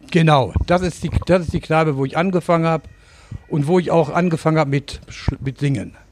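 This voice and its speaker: Speaking at a fairly quick pace, the man has a fairly high pitch and fairly even intonation. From Lower Saxony, Germany. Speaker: singer and pub owner. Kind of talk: casual interview. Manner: halting.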